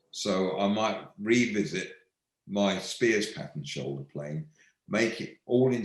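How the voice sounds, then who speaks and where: Lively intonation runs through this man's speech. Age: 70s. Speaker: woodworking tool maker. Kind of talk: live online Q&A. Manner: halting, frequent repetitions.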